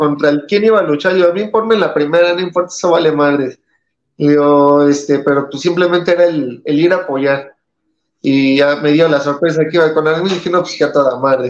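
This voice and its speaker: A man with an unremarkable speaking voice talks at a fairly high pitch and a fairly quick pace. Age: 30s. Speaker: professional wrestler. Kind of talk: interview.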